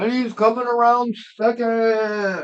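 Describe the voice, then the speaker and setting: Using a put-on character voice at a fairly high pitch, someone talks at a fairly slow pace in a monotone, flat intonation. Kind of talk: announcer. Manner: excited play-by-play.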